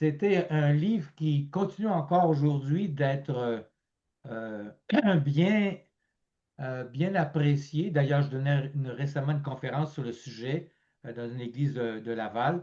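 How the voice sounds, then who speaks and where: A man's fairly high, dark and mellow voice at a fairly slow pace, with ordinary pitch variation and long, frequent pauses. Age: 70s. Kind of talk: interview conversation. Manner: halting, many fillers.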